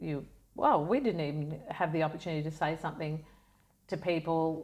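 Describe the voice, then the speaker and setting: This woman speaks in a very deep, low pitch with an Australian accent. Her pace is fairly quick and her intonation fairly even. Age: 60s. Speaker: wellness advocate. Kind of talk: casual chat.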